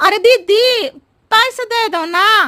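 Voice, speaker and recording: A cartoonish, female-sounding character voice at an extremely high pitch. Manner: roundabout, riddling, chatty.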